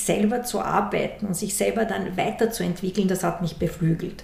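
Noticeable background noise and audible room echo surround a woman who speaks at a moderate pace. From Austria, Vienna. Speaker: university executive and former corporate manager. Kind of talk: interview.

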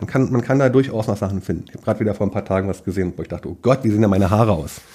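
The voice has a dark, mellow tone with ordinary pitch variation. It moves at a very fast pace. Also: man. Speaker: fishing YouTuber. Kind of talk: casual interview. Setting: at guest's home.

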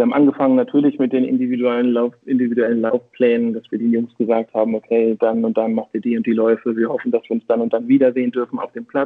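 A man talks very fast at a medium pitch, with hardly any pauses. His intonation is monotone and flat. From northern Germany, Schleswig-Holstein. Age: 40s. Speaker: football coach and marketing consultant. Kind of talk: casual interview.

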